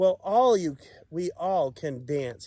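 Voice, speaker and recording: This man puts on a character voice, high-pitched and fairly slow, recorded with a dry, close sound and no echo. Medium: read story.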